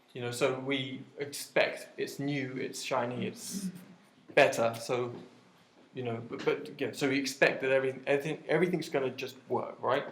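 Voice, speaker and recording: Somewhat breathy and fairly high in pitch, a man speaks at a moderate pace with ordinary pitch variation, and audible room echo surrounds his voice. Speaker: web developer giving a meetup talk. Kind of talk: conference talk. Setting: meetup with live audience. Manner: hesitant, many fillers.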